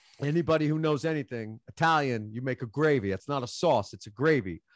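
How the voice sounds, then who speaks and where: A man with a New York accent, fairly high pitch and lively intonation, in a dry, close sound with no echo and a quiet background. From Queens, New York. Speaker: musician. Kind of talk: casual chat. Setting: video call. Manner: animated.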